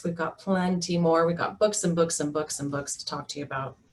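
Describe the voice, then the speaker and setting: Over noticeable background noise, a woman with a fairly low pitch speaks at a very fast pace. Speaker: mental health therapist. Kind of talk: webinar presentation.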